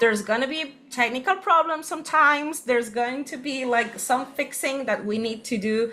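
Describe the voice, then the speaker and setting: With music playing in the background, a woman speaks in a raised, projected voice at a high pitch. Her pace is moderate, with ordinary pitch variation and hardly any pauses. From Spain. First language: Spanish. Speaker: workshop co-host. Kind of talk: online workshop session.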